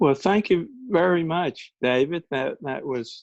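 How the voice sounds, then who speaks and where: A man speaks with a Mississippi accent and ordinary pitch variation. The sound is dry and close, with no echo. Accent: Southern US (Mississippi). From US South, Mississippi Delta. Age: 70s. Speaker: electronics company founder. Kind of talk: presentation. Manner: halting.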